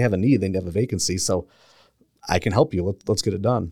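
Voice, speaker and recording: With an American accent, a man with an unremarkable speaking voice and fairly low pitch talks at a fairly quick pace with ordinary pitch variation, in a dry, close, echo-free recording that is very clean with a silent background. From Milwaukee area, Wisconsin. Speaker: realtor. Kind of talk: casual chat. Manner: laughs often.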